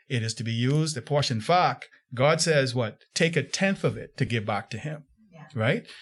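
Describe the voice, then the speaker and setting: A somewhat breathy voice moves at a moderate pace with lively intonation over a quiet background. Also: man, medium pitch for a man. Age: 60s. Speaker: pastor. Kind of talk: interview.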